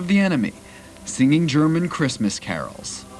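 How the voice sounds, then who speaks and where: A man talks at a moderate pace with lively intonation and a fairly high pitch, with music playing in the background. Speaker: TV news reporter. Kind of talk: TV news report.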